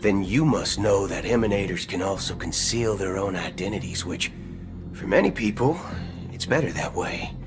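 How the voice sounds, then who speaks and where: Putting on a character voice, a man drawls at a moderate pace in a fairly low pitch against loud background music. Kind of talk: western gunslinger. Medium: video game. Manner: casual drawl, folksy.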